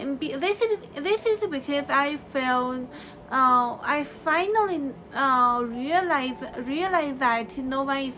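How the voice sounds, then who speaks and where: A woman speaks in a raised, projected voice at a very slow pace. Her pitch is high and her intonation lively. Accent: Chinese. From China. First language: Chinese. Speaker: vlogger. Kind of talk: personal reflection monologue. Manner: halting, many fillers and restarts.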